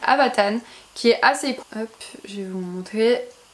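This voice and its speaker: With noticeable background noise, a woman speaks at a fairly high pitch with ordinary pitch variation. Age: 20s. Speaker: YouTuber. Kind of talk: casual talk to camera.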